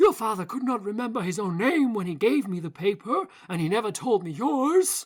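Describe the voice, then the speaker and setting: A woman's put-on character voice with very wide pitch swings, on a very clean recording with a silent background. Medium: read story. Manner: grave, authoritative.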